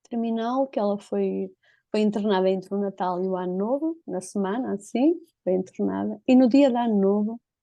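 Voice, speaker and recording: With a European Portuguese accent, a woman speaks at a medium pitch. Her pace is moderate and her pitch varies in an ordinary way. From northern Portugal. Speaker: interviewee telling a personal story. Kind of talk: personal testimony.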